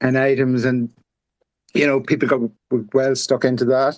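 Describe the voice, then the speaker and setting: With an Irish accent, a man speaks at a medium pitch. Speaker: community manager. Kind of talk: casual chat. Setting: online audio space.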